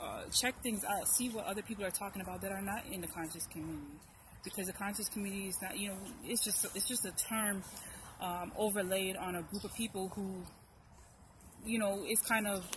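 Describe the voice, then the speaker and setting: Against noticeable background noise, a woman speaks fairly quickly in a monotone, flat intonation. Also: medium pitch for a woman. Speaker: YouTube commentator. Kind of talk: casual chat. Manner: fast.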